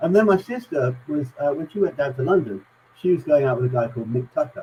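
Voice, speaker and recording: Somewhat breathy and dark, mellow in tone, a man speaks at medium pitch with very wide pitch swings. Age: 60s. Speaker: guest telling music stories. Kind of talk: casual chat. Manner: halting, many fillers.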